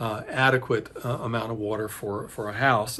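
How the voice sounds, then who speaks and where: Here a man speaks with a medium pitch. He keeps a fairly quick pace. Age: 60s. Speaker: home building video host. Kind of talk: casual tutorial talk to camera. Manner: hesitant, many fillers and restarts.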